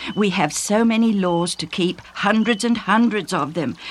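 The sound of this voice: The reading voice is unforced, with pitch that varies in an ordinary way.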